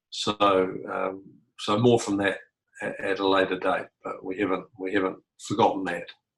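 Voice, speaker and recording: A man speaks with a New Zealand accent at a moderate pace. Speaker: community facilitator. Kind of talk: online group meeting. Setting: video call. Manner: halting.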